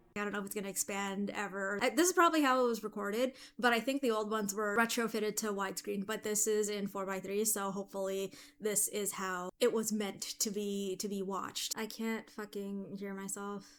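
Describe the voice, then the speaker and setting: Soft-spoken and at a medium pitch, a woman talks at a fairly quick pace with fairly even intonation and hardly any pauses. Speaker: movie reaction youtuber. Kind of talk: casual reaction commentary. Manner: louder than usual due to headphones.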